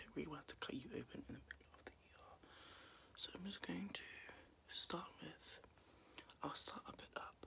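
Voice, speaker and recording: Whispering at a moderate pace, a man speaks in a gentle tone. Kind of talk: soft role-play roleplay chat. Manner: soft, gentle ASMR murmur. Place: home room. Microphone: phone near.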